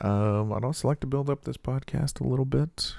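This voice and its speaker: A dark, mellow tone on a very clean recording with a silent background. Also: man. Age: 40s. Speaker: podcast host. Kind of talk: casual solo monologue. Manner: hesitant, many fillers.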